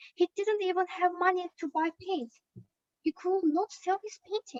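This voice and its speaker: A woman with an extremely high pitch speaks fairly slowly in a dry, close sound with no echo. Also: ordinary pitch variation. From Azerbaijan. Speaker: student startup founder. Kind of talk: pitch presentation.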